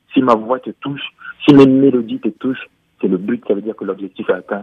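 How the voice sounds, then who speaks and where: A man's unremarkable speaking voice at medium pitch, fairly quick, with ordinary pitch variation. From Cameroon. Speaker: musician. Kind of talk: interview.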